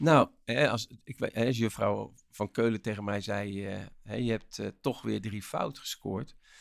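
A man speaks very slowly in a fairly low pitch, with vocal fry. The recording is very clean and silent behind him, dry and close with no echo. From Rotterdam, Netherlands. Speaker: motivational speaker and author. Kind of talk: interview. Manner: energetic; animated.

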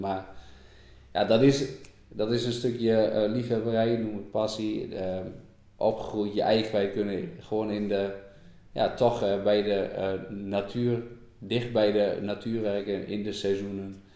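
A man speaks at a fairly slow pace with a dark, mellow tone and fairly low pitch. His intonation is fairly even, and there is audible room echo. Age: 30s. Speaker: dairy farmer. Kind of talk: interview conversation. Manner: hesitant with many fillers.

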